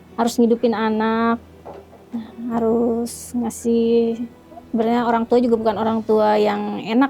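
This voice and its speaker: Over noticeable background noise, a woman speaks in a fairly high voice with flat, monotone intonation. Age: 40s. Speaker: interviewee telling life story. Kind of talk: interview testimony. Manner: halting.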